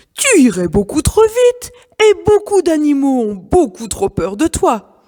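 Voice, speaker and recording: A woman uses a put-on character voice with a high pitch. Her pitch swings very widely at a fairly slow pace. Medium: read story. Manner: firm, calm.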